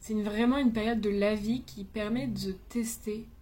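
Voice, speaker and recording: A woman's fairly high, somewhat breathy voice with a dark, mellow tone, flat monotone intonation and a fairly slow pace, in audible room echo. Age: 20s. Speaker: vlogger. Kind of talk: personal vlog monologue. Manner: casual, hesitant.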